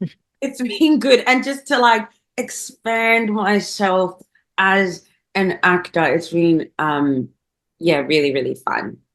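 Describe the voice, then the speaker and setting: At a very slow pace, a woman with a slight South African accent speaks at medium pitch with very wide pitch swings. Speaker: actor and MC. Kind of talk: casual chat.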